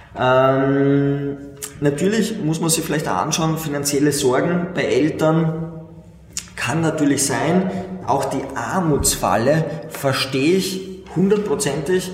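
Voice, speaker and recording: Over noticeable background noise and audible room echo, a man talks at a very slow pace, his fairly high pitch showing ordinary variation. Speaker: finance podcast host. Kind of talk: casual monologue.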